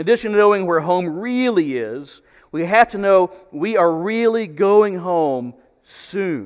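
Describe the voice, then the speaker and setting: Here a man talks at a fairly slow pace with a high pitch. The background is quiet. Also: lively intonation. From Texas. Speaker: preacher. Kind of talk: sermon. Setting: church. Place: church. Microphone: headset.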